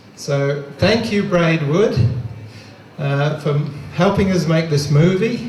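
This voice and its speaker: A voice with an Australian accent is shouting, loud and at a very slow pace. Music plays in the background, and the room echo is audible. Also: man, high pitch for a man, ordinary pitch variation, long, frequent pauses. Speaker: film production designer. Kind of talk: short thank-you speech. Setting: outdoors in crowd, street screening. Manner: loud, shouting.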